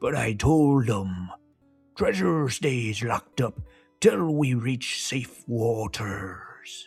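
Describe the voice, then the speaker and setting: A man puts on a character voice at a medium pitch and speaks at a very slow pace. Faint music plays in the background. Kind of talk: children's story narration. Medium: read story. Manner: boastful, theatrical.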